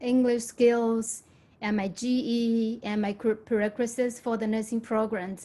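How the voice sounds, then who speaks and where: A woman speaks at a very slow pace, her pitch fairly high. Her tone is dark and mellow. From Myanmar. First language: Burmese or another language of Myanmar. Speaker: nursing graduate, former community college student. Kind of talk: testimony at a town hall.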